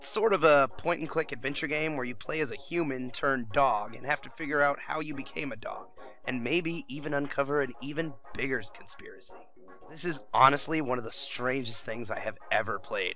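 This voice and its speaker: A man talks at a fairly high pitch and a fairly quick pace, with ordinary pitch variation. Noticeable background noise runs under his voice. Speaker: gaming youtuber. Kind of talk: scripted narration. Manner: casual, comedic.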